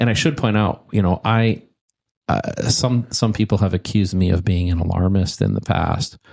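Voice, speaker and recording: A man talks in a plain, everyday voice, fairly low in pitch, with ordinary pitch variation and a moderate pace. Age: 60s. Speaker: former tech executive and bitcoin mining expert. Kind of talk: interview.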